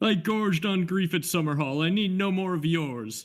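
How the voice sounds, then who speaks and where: On a very clean recording with a silent background, a man speaks in a put-on character voice. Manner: sobbing, accusing.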